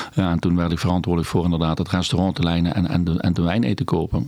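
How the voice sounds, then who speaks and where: Very fast speech comes from a man with a very deep, low pitch. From Netherlands, South Limburg (Valkenburg aan de Geul). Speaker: restaurant host and wine expert. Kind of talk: casual interview.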